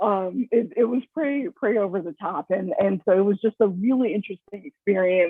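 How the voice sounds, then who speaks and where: A woman with an American accent uses a plain, everyday voice at a medium pitch, with ordinary pitch variation and hardly any pauses. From San Francisco, California. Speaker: food writer. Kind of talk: interview.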